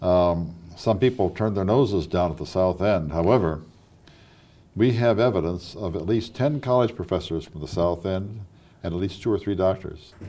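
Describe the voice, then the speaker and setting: At a moderate pace, a man with an Ohio accent speaks in a very deep, low voice with a dark, mellow tone. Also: ordinary pitch variation. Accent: Midwestern American (Ohio). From Wadsworth, Ohio. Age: 60s. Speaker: local history show host. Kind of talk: oral history interview. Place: studio. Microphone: lapel.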